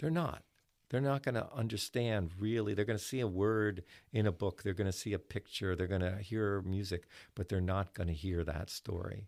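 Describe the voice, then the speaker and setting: In a very clean recording with a silent background, a man speaks at a moderate pace with a fairly low pitch, ordinary pitch variation, and very even loudness. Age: 60s. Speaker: folk musician and writer. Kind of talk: casual interview chat. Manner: halting, many fillers.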